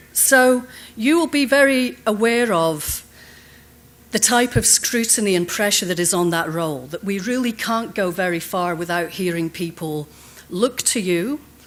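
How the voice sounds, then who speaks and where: Someone with a Scottish accent speaks at a moderate pace, the pitch swinging very widely. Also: woman, medium pitch for a woman. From Scotland. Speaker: conference speaker on leadership. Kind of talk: conference keynote talk. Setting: stage with audience.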